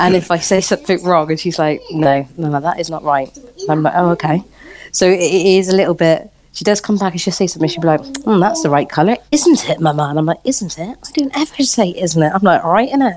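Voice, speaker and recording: Speech comes at a very fast pace in a Bristol accent. The intonation is lively. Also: woman, fairly low pitch for a woman. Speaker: parent. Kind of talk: casual chat.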